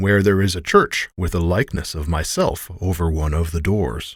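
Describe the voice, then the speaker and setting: A man uses a booming, put-on character voice with a very deep, low pitch. He speaks at a moderate pace in a very clean recording with a silent background. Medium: read story. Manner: commanding, loud.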